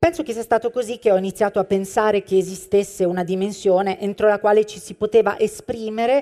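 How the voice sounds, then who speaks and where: This woman has a dark, mellow tone at a medium pitch. She talks at a fairly quick pace. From Apulia, southern Italy. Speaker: stage and television actress. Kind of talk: scripted live monologue. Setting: stage with audience.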